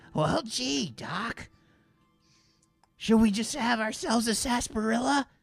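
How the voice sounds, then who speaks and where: Music plays in the background as the voice moves at a moderate pace with lively intonation. Long, frequent pauses break up the speech. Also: man, high pitch for a man. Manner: folksy, excitable.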